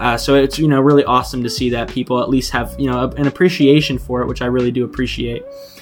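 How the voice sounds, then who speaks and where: Words come out at a very fast pace while music plays in the background. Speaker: gaming youtuber. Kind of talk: let's play commentary over build time lapse. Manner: casual, halting with fillers.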